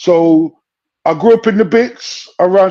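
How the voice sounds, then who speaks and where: A man's high-pitched voice in a London accent, dark and mellow in tone, with fairly even intonation. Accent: London (multicultural London English). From London, Brent (northwest London). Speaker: UK hip hop rapper. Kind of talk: casual interview chat. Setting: live stream.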